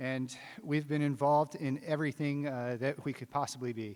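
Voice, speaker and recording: A man with an American accent has an unremarkable speaking voice. He keeps a moderate pace and fairly even intonation on a very clean recording with a silent background. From US Mid-Atlantic, rural Maryland. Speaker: city council candidate. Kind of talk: candidate forum statement. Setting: theater stage with audience.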